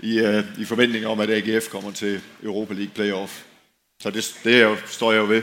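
A man speaks at a fairly slow pace in a fairly low pitch. His intonation is monotone and flat. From Denmark, outside Aarhus region. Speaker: former professional footballer. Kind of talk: panel discussion on stage. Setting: tent with live audience. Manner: halting, repeats words.

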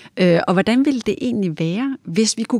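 A woman speaks at a medium pitch in a dark, mellow tone, the sound dry and close with no echo on a very clean recording with a silent background. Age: 40s. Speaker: design and technology centre director. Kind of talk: casual chat. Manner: halting with many fillers.

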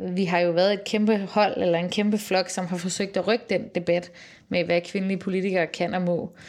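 Against a quiet background, a woman with an ordinary speaking voice talks at a moderate pace and medium pitch with fairly even intonation. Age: 30s. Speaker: politician. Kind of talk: casual chat. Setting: office.

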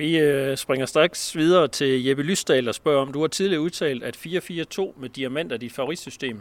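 With an ordinary speaking voice, a man talks at a moderate pace and fairly high pitch, with ordinary pitch variation. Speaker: sports editor and podcast host. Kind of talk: interview. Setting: outdoors.

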